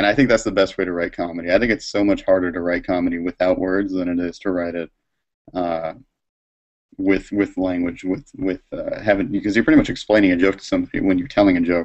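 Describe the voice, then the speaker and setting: Over a quiet background, a man with an American accent talks at a very fast pace in a very deep, low voice with fairly even intonation. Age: 20s. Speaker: cartoonist and Marine veteran; guest. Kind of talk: live drawing tutorial. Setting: live video stream. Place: home room. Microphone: video call.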